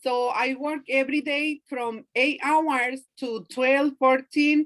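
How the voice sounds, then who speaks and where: Speaking at a very slow pace with a non-native accent, the voice stays monotone and flat in intonation. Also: woman, high pitch for a woman, dry, close sound with no echo. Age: 40s. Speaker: direct sales consultant. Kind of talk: video call interview. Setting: video call.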